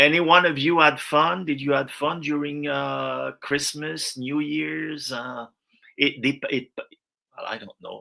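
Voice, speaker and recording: In a French accent, a man speaks very slowly with big swings in loudness. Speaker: viewer joining a live stream. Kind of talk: casual chat. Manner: halting.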